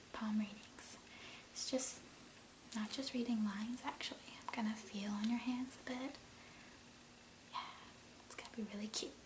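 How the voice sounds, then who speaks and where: Soft-spoken and high-pitched, a man talks at a moderate pace with fairly even intonation and long, frequent pauses, with noticeable background noise behind him. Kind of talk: ASMR role play, friendly chat. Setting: close-mic, casual one-on-one conversation.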